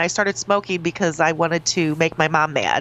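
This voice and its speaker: A woman with an unremarkable speaking voice talks at a moderate pace in a fairly low pitch with ordinary pitch variation. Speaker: radio host. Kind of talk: morning radio show banter.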